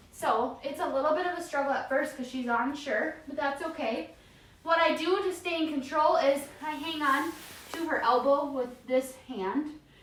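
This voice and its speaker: Amid audible room echo and noticeable background noise, a woman speaks in a soothing tone at a high pitch with ordinary pitch variation. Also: moderate pace. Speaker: dog trainer. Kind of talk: tutorial.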